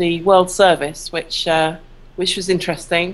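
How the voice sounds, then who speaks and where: Using a southern English accent, a woman speaks at a moderate pace in a fairly low pitch with monotone, flat intonation. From southern England, Worthing. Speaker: copywriter. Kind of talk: interview.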